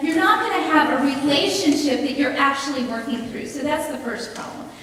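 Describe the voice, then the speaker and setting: A woman's high-pitched voice amid noticeable background noise and audible room echo. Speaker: pastor. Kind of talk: sermon. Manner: trails off at sentence ends.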